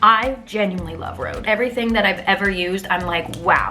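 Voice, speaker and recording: Music plays in the background and room echo is audible as a woman speaks at medium pitch in an animated tone. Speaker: beauty vlogger. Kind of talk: makeup tutorial. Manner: fast.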